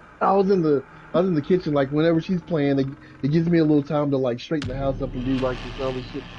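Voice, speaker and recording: Over light background noise, a man talks very fast. His pitch is fairly high and varies in an ordinary way. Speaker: fellow gamer joining the stream. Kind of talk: casual chat during online gameplay. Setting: online voice chat. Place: home room.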